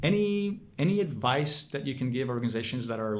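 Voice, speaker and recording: Ordinary pitch movement at a fairly quick speed, with echo from the room clearly audible. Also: man. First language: French. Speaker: podcast host. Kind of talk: podcast interview. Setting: bar. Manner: hesitant, many fillers.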